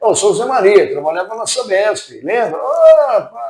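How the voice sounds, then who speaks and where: His pitch swinging very widely, a man talks at a fairly slow pace. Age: 60s. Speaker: retiring utility company employee. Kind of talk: interview.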